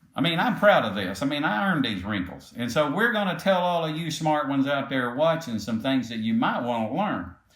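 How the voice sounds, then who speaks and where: With an American accent, a man speaks at a fairly quick pace in a fairly high pitch, using very wide pitch swings and hardly any pauses, amid noticeable background noise and audible room echo. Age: 70s. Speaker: podcast host, company CEO. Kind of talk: casual podcast chat.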